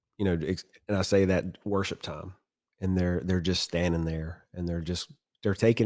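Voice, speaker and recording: A man speaks with an American accent at a very deep, low pitch. His tone is dark and mellow, and his intonation is fairly even. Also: very clean recording, silent background. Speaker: men's group tribe leader and firefighter. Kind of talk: casual chat.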